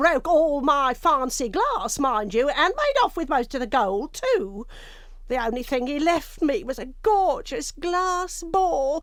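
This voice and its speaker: A female-sounding speaker uses a put-on character voice, high in pitch and at a fairly slow pace. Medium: video game. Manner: chatty, affectionate, calls him love.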